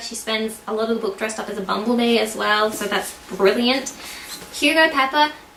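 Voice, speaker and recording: Noticeable background noise and audible room echo surround the woman's voice. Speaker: book reviewer. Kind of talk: casual book review vlog. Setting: at home with her dog. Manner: animated.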